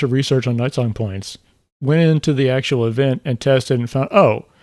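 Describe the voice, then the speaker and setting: A man at a moderate pace. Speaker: gaming YouTuber streaming. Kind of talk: live stream Q&A. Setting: live stream. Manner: casual, halting with fillers; may mumble when talking normally. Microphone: new mic with noise gate, drinking sounds may come through.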